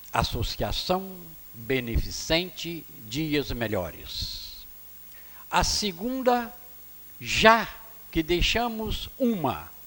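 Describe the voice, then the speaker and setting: A man speaks at a very slow pace, with long, frequent pauses. Noticeable background noise and audible room echo fill the recording. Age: 70s. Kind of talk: public address at city council session. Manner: formal.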